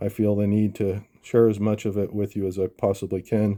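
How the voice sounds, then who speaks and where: A man with a fairly low voice and a dark, mellow tone speaks at a moderate pace on a very clean recording with a silent background. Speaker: amateur cipher researcher, channel host. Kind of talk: monologue video commentary. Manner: hesitant, many fillers.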